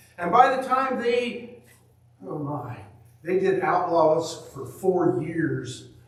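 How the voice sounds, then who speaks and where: There is audible room echo and noticeable background noise. A man speaks with ordinary pitch variation. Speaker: preacher. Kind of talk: sermon. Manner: loud.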